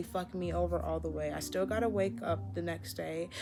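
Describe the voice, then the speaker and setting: Against music in the background and audible room echo, a woman speaks at a moderate pace. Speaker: lifestyle vlogger. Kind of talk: casual monologue. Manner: rambling, loses track; casual, filler-heavy.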